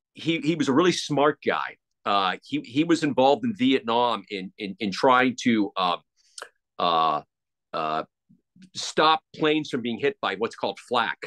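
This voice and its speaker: A man with an American accent speaks at a medium pitch and a fairly slow pace, with vocal fry. His pitch swings very widely, and the sound is dry and close with no echo. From Pennsylvania, US. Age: 60s. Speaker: retired sports anchor. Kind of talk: casual interview. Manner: halting, with many repetitions.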